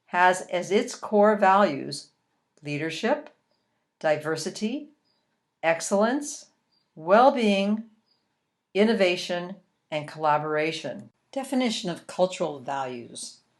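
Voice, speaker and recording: With very wide pitch swings around a medium pitch, a woman speaks very slowly, leaving long, frequent pauses. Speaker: learning and development consultant. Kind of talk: e-learning module narration.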